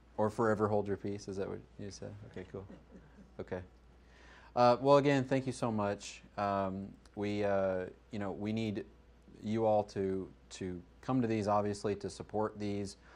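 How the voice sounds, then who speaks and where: With long, frequent pauses, a man speaks at a fairly low pitch, his intonation fairly even but his loudness swinging widely. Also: moderate pace, quiet background. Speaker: user group meetup host. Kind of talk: closing remarks to meetup audience.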